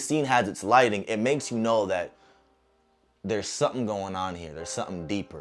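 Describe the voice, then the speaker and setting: Music plays in the background as a man speaks in an animated tone with lively intonation. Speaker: movie reviewer. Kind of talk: movie review monologue. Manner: fast.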